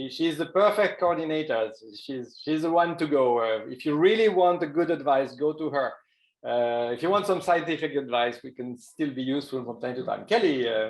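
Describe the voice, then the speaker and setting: A man's fairly high voice in a Swiss accent, moderate in pace, with lively intonation. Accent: French-speaking Swiss. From Switzerland, French-speaking. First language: French. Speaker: professor. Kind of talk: webinar presentation.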